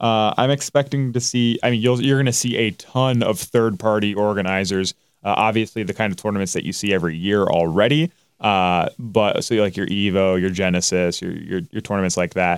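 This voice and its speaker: A man with a plain, everyday voice, at a fairly low pitch and fairly quick pace, with ordinary pitch variation, on a very clean recording with a silent background. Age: 20s. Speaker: esports podcast co-host. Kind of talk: casual chat.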